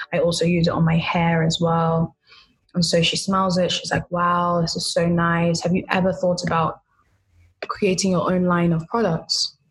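A woman with a London accent speaks at a moderate pace in a fairly low, somewhat breathy voice, her intonation monotone and flat. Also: very even loudness. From London, England. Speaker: skincare entrepreneur. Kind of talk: interview.

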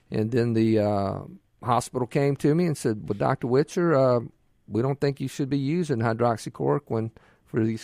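Dry and close with no echo, a man with a Mississippi accent speaks at a medium pitch and moderate pace, his dark, mellow tone set off by lively intonation. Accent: Mississippi Southern US. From Mississippi Gulf Coast. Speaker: physician and governor candidate. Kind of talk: radio interview. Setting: radio studio.

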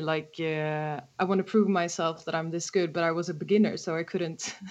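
With a Swedish accent, a woman talks at a moderate pace in fairly even intonation. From Sweden, Stockholm. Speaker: harmonica player and songwriter. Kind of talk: casual interview. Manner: hesitant, many fillers.

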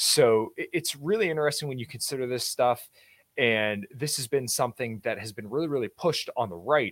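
Lively intonation marks this man's ordinary speaking voice as he talks at a fairly quick pace. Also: medium pitch for a man. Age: 20s. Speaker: podcast host and fitness enthusiast. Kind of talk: casual chat. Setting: remote podcast interview.

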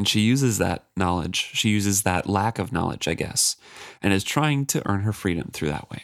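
Here someone is reading aloud in a natural voice. The whole clip is read this way.

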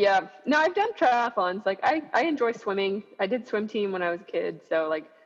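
Against noticeable background noise, a woman talks at a moderate pace with hardly any pauses, using lively intonation at a fairly high pitch. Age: 30s. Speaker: marathon runner. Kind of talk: casual chat. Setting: video call.

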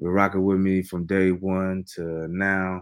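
A man with an American accent speaks in a very deep, low pitch with monotone, flat intonation. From Texas, Fort Worth. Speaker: independent rap artist. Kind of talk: casual interview. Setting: livestreamed online interview.

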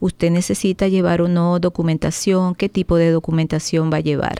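A woman's dark, mellow voice in a dry, close sound with no echo. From Venezuela. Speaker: driving school and licensing services owner. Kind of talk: radio interview. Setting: studio.

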